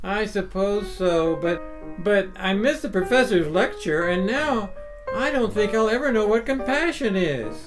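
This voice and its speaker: A female-sounding put-on character voice, fairly high in pitch, moves at a moderate pace over clear music in the background. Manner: stammering, hesitant.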